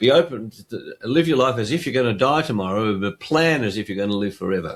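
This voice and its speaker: A man with an Australian accent talks at a fairly quick pace with lively intonation. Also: medium pitch for a man. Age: 70s. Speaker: interview show host. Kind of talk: casual interview conversation.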